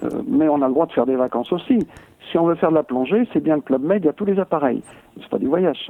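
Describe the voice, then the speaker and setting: Here a man talks at a very fast pace with lively intonation. His pitch is fairly high. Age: 70s. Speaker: world traveller, hitchhiker. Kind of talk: interview. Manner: halting.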